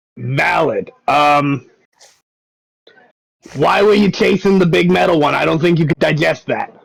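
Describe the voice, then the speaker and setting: Putting on a character voice, a man speaks at a fairly high pitch and a moderate pace, leaving long, frequent pauses. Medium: actual play. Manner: warm, easygoing.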